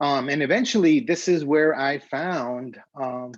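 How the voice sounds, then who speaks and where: A man with a Spanish accent at a fairly slow pace, with lively intonation. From Honduras, Tegucigalpa. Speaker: graphic designer. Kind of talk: conference talk. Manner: halting, many fillers.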